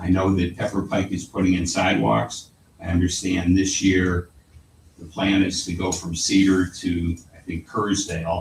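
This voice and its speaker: Noticeable background noise accompanies a man speaking at a moderate pace with fairly even intonation in a very deep, low voice. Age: 80s+. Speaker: contractor speaking at public comment. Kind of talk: public comment at council meeting. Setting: city council chamber.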